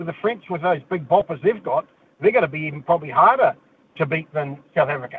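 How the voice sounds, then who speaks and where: A man with a New Zealand accent speaks at a very fast pace and a high pitch. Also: lively intonation. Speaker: caller. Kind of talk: phone-in chat.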